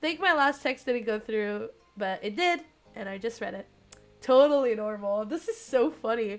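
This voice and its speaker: The tone is animated as a woman talks. She keeps a moderate speed. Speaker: streamer. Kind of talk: live gameplay stream reading visual novel. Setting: live stream.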